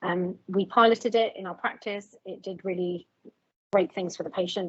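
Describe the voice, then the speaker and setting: A woman talks at a medium pitch. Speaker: GP practice lead. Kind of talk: panel discussion. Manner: fast.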